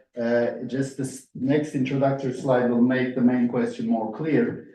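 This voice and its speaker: Audible room echo surrounds this man's voice. His pitch is medium and his intonation fairly even. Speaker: professor. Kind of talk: lecture. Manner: fast.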